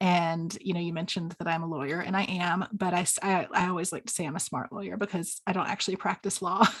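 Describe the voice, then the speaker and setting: Hardly pausing, a woman talks at a very fast pace. Her fairly low voice keeps a fairly even intonation. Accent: American. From US South. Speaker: stepparent coach. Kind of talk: interview.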